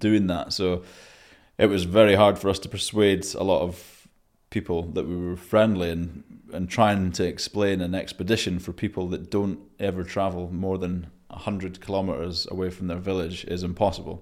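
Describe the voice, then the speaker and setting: In a Scottish accent, a man speaks at a moderate pace in a very deep, low pitch with monotone, flat intonation. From Scotland. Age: 30s. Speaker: former Royal Marine, expedition adventurer. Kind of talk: casual interview, storytelling. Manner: halting, many fillers.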